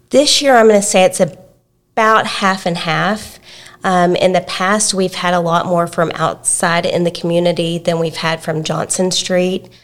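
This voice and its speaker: On a very clean recording with a silent background, a woman with an East Texas accent speaks at a medium pitch and a fairly slow pace with fairly even intonation. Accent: East Texas Southern US. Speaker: preschool director. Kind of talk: podcast interview. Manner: soft-spoken.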